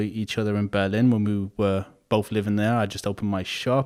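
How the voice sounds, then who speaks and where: Fairly even intonation from a man, delivered at a moderate pace. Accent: Liverpool. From Liverpool, England. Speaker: podcast host and barber. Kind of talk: podcast interview.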